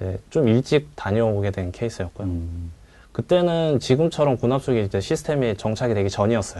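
A man talks at a fairly quick pace with lively intonation, his tone dark and mellow. His pitch sits at a medium level, and the background is quiet. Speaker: army veteran sharing his military service experience. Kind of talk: talk show conversation.

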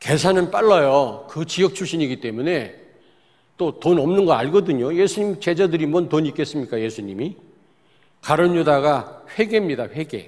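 Using an unremarkable speaking voice, a man talks at a moderate pace with a fairly high pitch and lively intonation. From South Korea, Daejeon. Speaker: pastor. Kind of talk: sermon.

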